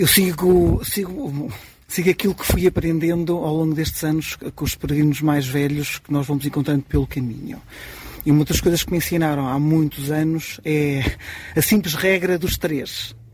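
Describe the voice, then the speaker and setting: A man's fairly high pitch and fairly even intonation at a moderate pace, amid noticeable background noise. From Portugal, Marinha Grande. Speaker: experienced pilgrim. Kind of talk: live radio interview.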